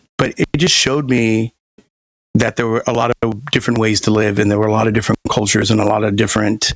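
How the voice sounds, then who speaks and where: Speaking at a very fast pace, a man holds a medium pitch with very even loudness and fairly even intonation, in a dry, close sound with no echo. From US, moved often (military-style family, incl. Germany). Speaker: sommelier and wine entrepreneur. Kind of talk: podcast interview. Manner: conversational with many fillers.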